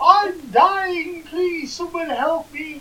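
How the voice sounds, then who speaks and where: A woman shouts in a put-on character voice. Her pitch is extremely high. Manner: shouting, overly dramatic.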